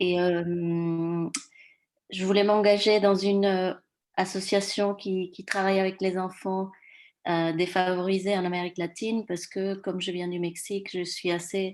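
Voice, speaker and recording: On a very clean recording with a silent background, a woman speaks in a medium pitch at a fairly slow pace, her intonation monotone and flat. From Mexico. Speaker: new committee member. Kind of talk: self-introduction at a meeting. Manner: hesitant.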